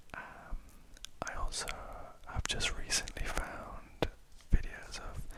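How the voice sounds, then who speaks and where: A man is whispering. Noticeable background noise runs underneath. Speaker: ASMR creator. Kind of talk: ASMR whispered ramble. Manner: whispered; soft-spoken.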